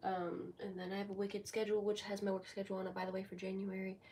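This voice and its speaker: A woman talks at a very fast pace in a medium pitch, her somewhat breathy voice dark and mellow in tone and her intonation monotone and flat. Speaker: live streamer. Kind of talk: casual live stream chat. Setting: sitting in bed streaming.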